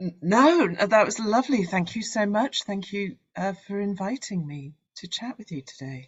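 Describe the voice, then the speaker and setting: A woman at a medium pitch, somewhat breathy, with lively intonation, big swings in loudness, a fairly slow pace and hardly any pauses. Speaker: Shakespearean actor. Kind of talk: interview answer.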